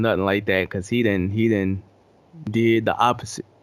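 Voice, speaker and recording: With an American accent, a man talks at a fairly low pitch in a monotone, flat intonation. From North Carolina (Louisburg), partly New York. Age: 20s. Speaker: hip hop producer. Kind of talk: casual interview.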